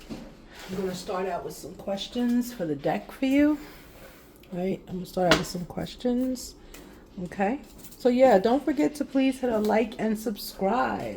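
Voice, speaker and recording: Soft-spoken and calm, a woman speaks at a fairly slow pace with a fairly high pitch and lively intonation. Her loudness swings widely, and there is noticeable background noise. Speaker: tarot card reader. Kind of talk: tarot reading. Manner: calm, mellow.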